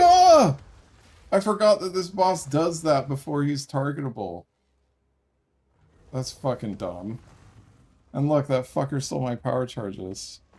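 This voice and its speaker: Pausing long and often, a man speaks in a fairly high pitch with very wide pitch swings and a somewhat breathy quality. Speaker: video game streamer. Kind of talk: gameplay livestream commentary. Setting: livestream.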